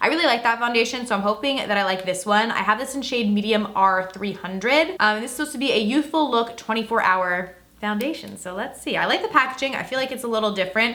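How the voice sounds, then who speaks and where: A woman talks at a very fast pace with hardly any pauses, in a fairly high pitch with ordinary pitch variation. Noticeable background noise can be heard. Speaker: beauty YouTuber. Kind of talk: makeup tutorial vlog. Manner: animated.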